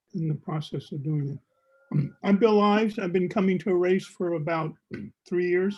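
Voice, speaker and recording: At a moderate pace, a man talks with a high pitch and ordinary variation in it. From New Orleans. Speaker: discussion group participant. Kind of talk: group discussion on video call. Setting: video call.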